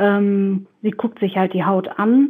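A woman speaks at a very slow pace with a somewhat breathy, medium-pitched voice. Her intonation stays fairly even. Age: 20s. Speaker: pediatric nurse. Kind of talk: casual interview.

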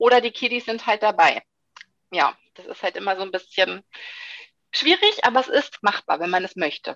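The woman speaks at a moderate pace with long, frequent pauses and big swings in loudness, in a dry, close sound with no echo. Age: 30s. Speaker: sports scientist and fitness instructor. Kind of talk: interview. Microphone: occasional dropouts from wifi problems.

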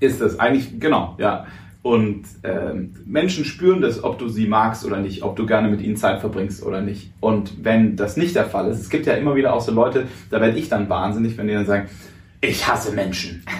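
A man speaks at a moderate pace in a fairly low pitch, with ordinary pitch variation. Audible room echo surrounds the voice. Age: 20s. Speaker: radio host and speaker. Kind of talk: casual interview.

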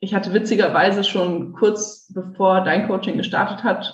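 Speaking at a moderate pace, a woman's voice comes across as somewhat breathy. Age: 20s. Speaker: civil engineer turned coach. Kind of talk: interview.

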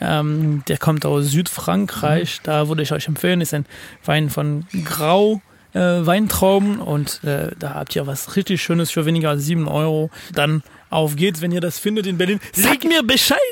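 A fairly high-pitched man talks at a fairly slow pace. His pitch moves with ordinary variation. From France (Paris). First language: French (speaking German). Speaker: podcast co-host. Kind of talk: casual chat. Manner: halting.

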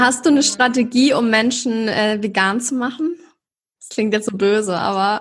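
A woman speaks somewhat breathily at a fairly high pitch with ordinary pitch variation. Her pace is moderate, and her loudness swings widely. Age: 20s. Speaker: podcast host. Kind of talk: casual chat. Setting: video call.

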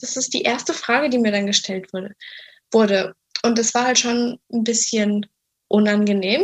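At a fairly slow pace, a woman with a fairly high voice speaks with long, frequent pauses. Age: 20s. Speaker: person with anorexia sharing her experience. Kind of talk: interview testimony.

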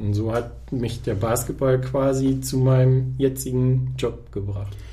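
Audible room echo and noticeable background noise accompany this man's speech. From northern Germany, Osnabrück district. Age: 30s. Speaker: press officer and volunteer basketball organizer. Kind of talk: podcast interview.

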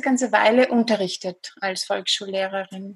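The speaker is a woman with a Viennese accent. She talks at a fairly slow pace. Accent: Viennese Austrian. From Austria, Vienna. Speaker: psychologist and hypnotherapist. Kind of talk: interview.

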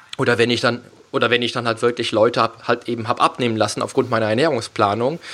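Bright and sharp in tone, a man speaks at a very fast pace and medium pitch with fairly even intonation. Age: 30s. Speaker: fitness coach and podcast host. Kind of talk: casual interview chat. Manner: halting, many fillers.

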